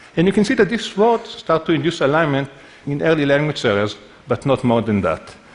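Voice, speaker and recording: Over noticeable background noise, a man talks at a fairly quick pace in a fairly high pitch with very wide pitch swings. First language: not English. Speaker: neuroscientist. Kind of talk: lecture.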